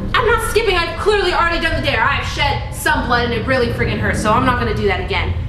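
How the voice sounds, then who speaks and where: Amid noticeable background noise and audible room echo, a woman talks very fast in an extremely high pitch. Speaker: channel host. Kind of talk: scripted skit vlog chat. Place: home room. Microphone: camera far.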